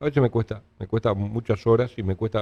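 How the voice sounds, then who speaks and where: A man's dark, mellow tone comes through with a dry, close sound and no echo. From Uruguay. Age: 60s. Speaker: politician. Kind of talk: interview.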